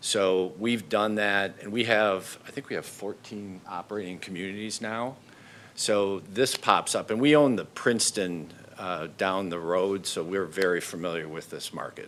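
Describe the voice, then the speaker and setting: A man with an ordinary speaking voice talks at a fairly low pitch and a moderate pace. His pitch varies in an ordinary way while his loudness swings widely. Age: 60s. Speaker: developer applicant. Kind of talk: public meeting testimony.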